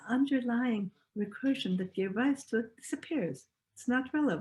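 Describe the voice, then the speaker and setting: The speaker talks at a moderate pace with an Estonian accent. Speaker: speaker on cybernetics. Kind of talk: lecture.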